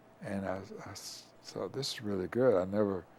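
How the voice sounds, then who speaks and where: Pitched fairly low, a man speaks in a dark, mellow tone with a West Tennessee accent. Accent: Southern US (West Tennessee). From US South. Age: 80s+. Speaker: retired lawyer. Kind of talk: oral history interview.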